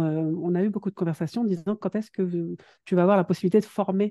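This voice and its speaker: With ordinary pitch variation, a woman speaks at a fairly low pitch and a fairly quick pace. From northern France, Dunkirk. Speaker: productivity coach. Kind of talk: interview. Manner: hesitant, many fillers.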